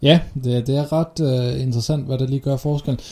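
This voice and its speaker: A man with a fairly high pitch and a dark, mellow tone speaks at a fairly quick pace with fairly even intonation. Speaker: podcast co-host on SEO. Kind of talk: casual chat. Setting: shared office, separate mics across room. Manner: loud, almost shouting across room.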